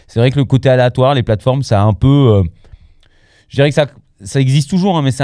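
With a dark, mellow tone, a man talks as his pitch shifts in an ordinary way. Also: very clean recording, silent background. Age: 40s. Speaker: podcast host, music debate. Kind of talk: casual chat.

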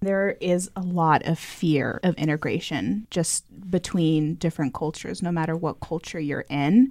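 Over a very clean recording with a silent background, a woman talks at a moderate pace and fairly low pitch, with ordinary pitch variation and hardly any pauses. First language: Spanish. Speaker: podcast co-host. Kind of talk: interview.

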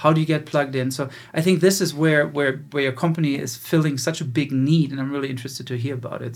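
A man with a German accent speaks at a very fast pace, his voice somewhat breathy. His pitch is fairly high, with fairly even intonation. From Germany. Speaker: podcast host and business founder. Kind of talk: casual interview.

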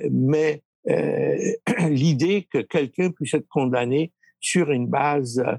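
A man talks at medium pitch with vocal fry. The sound is dry and close, with no echo. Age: 70s. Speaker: lawyer. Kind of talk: interview. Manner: halting.

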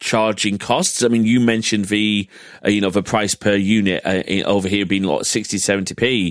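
This man's British accent comes through at a fairly low pitch, recorded dry and close with no echo. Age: 30s. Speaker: podcast host. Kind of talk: casual chat.

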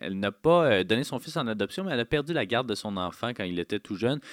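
A man's lively intonation in a Quebec accent. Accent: Québécois French. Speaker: film critic radio host. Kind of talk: radio show with interviews.

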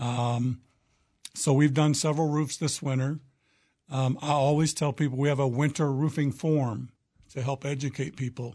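A man's fairly high, somewhat breathy voice with a dark, mellow tone, monotone, flat intonation and a moderate pace, against a quiet background. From Oklahoma. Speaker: roofing contractor. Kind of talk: radio interview.

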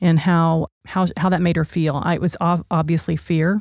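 A woman's fairly low, dark, mellow voice with an American accent, monotone and flat in intonation, at a fairly quick pace. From Oklahoma City, US. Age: 60s. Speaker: nonprofit founder and director. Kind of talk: interview. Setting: studio.

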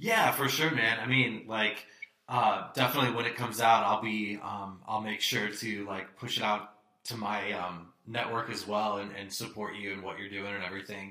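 Fairly low pitch marks this man's voice. His intonation stays fairly even. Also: moderate pace. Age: 30s. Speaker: podcast host. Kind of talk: casual chat. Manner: hesitant, many fillers.

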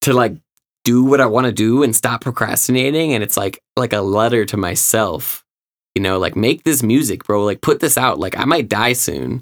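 A man with an American accent and medium pitch speaks at a moderate pace with ordinary pitch variation. The recording is very clean, with a silent background. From Illinois, Chicago suburbs. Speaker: rapper. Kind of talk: casual chat. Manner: loud; animated.

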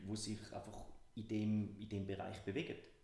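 Audible room echo surrounds speech delivered fairly slowly. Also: man. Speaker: business consultant and podcast co-host. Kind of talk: casual podcast chat.

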